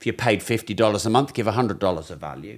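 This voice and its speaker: With a British accent, a man is talking. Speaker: business and finance educator. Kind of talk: podcast conversation.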